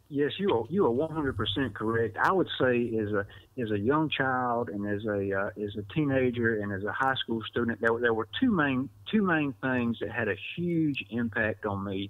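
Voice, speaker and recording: A man with an Alabama accent speaks at a moderate pace, his medium pitch rising and falling in an ordinary way. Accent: US Southern (Alabama). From Southwest Alabama. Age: 40s. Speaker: newspaper reporter. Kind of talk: podcast interview. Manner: repetitive false starts.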